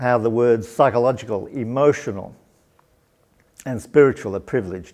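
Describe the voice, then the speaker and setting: With an Australian accent, a man of medium pitch talks at a moderate pace with ordinary pitch variation and long, frequent pauses. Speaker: professor and researcher. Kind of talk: lecture.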